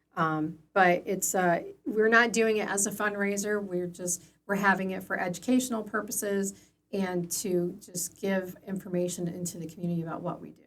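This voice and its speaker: Big swings in loudness mark a woman's speech in an American accent, delivered at a moderate pace with medium pitch and fairly even intonation. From northern Illinois, US. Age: 50s. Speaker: elder care agency director. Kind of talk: interview. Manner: hesitant, many fillers.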